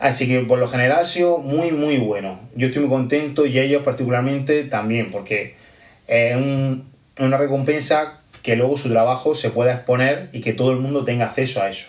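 In a plain, everyday voice, a man speaks at a moderate pace and medium pitch with fairly even intonation. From Almería, Spain. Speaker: primary school teacher. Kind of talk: pre-recorded audio message.

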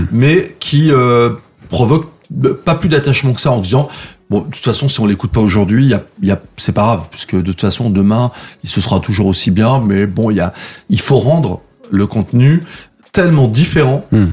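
A man with a somewhat breathy, medium-pitched voice speaks with lively intonation at a moderate pace, taking long, frequent pauses. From France, Savoie (Saint-Jean-de-Maurienne). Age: 50s. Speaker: show producer and former radio programme director. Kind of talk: interview. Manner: hesitant, many fillers.

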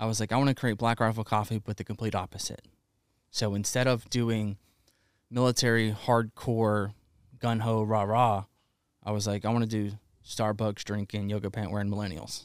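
A man with an American accent speaks in a monotone, flat intonation. He leaves long, frequent pauses, and the recording is very clean with a silent background. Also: fairly low pitch for a man, moderate pace. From US South, Alabama. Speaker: fitness entrepreneur and coffee brand founder. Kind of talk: casual chat. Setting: warehouse studio.

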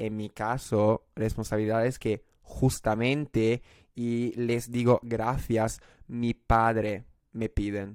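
A man speaks very slowly at a medium pitch in a monotone, flat intonation, with a dry, close sound and no echo. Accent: Italian. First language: Italian (speaking Spanish). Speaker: podcast guest. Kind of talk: casual chat. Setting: video call. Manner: halting.

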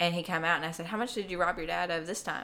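This woman has a plain, everyday voice. Her pitch varies in an ordinary way. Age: 20s. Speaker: podcast guest sharing life story. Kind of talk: casual chat.

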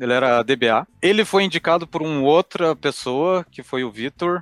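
In an unremarkable speaking voice, a man with a fairly high pitch and ordinary pitch variation is heard in a very clean recording with a silent background. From Brazil, Curitiba. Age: 30s. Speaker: cloud support engineer. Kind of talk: interview.

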